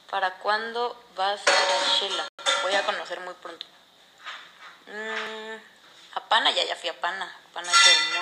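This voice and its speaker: A woman at a fairly slow pace with ordinary pitch variation, long, frequent pauses and loud background noise. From Mexico, La Paz, Baja California Sur; Baja California Sur, Mexico. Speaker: reality competition contestant; live streamer. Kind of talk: casual livestream chat. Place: home room. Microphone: phone near.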